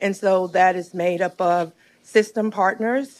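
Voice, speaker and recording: With a Southern US accent, a woman speaks at medium pitch with fairly even intonation in a very clean recording with a silent background. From Alabama. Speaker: nonprofit executive director. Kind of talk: public testimony at a county board meeting. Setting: county board meeting room.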